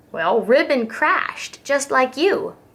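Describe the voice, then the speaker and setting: Putting on a character voice, a woman talks fairly slowly in a high pitch that swings very widely. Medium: read story. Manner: rambling.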